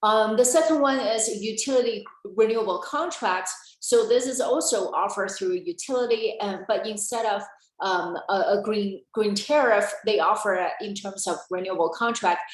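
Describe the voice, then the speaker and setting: At a moderate pace, a woman with a fairly high pitch and ordinary pitch variation speaks with audible room echo. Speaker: energy policy presenter. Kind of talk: webinar presentation. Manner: halting.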